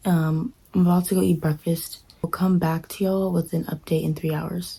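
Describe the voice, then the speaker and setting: The voice is a woman's, fairly low in pitch. She speaks in a monotone with flat intonation. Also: moderate pace. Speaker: book vlogger. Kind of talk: casual vlog talk.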